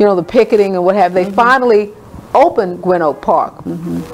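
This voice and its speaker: A woman at medium pitch speaks with ordinary pitch variation against noticeable background noise. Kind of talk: personal story recounting a childhood memory in a radio interview.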